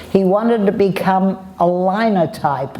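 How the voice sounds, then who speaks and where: Over noticeable background noise, a woman with a medium pitch speaks at a very slow pace. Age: old. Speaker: war bride. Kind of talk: interview answer.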